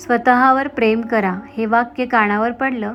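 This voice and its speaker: With music in the background, a woman speaks at a fairly high pitch with ordinary pitch variation. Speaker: voiceover artist and blogger. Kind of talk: self-help blog narration.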